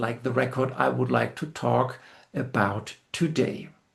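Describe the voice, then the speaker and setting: A man's medium-pitched voice with vocal fry, lively intonation and a fairly slow pace. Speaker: music video essayist. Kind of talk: scripted narration. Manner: formal.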